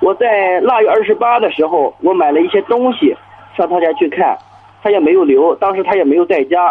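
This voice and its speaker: Over music in the background, the speaker talks at a fairly quick pace with lively intonation and very even loudness. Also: man, high pitch for a man. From Chinese county town. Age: 30s. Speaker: small business owner. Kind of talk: phone-in call. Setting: phone call. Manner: hesitant, many fillers.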